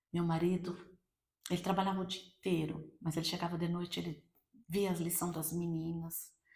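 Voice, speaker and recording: A woman with a fairly low pitch sounds somewhat breathy as she speaks with monotone, flat intonation. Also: moderate pace. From Brazil, Campinas, São Paulo. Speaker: church speaker giving testimony. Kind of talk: testimony.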